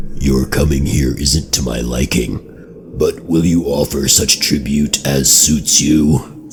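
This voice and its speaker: Putting on a character voice, a man speaks in a very deep, low, hoarse pitch at a fairly slow pace over clear background noise. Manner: demanding tribute.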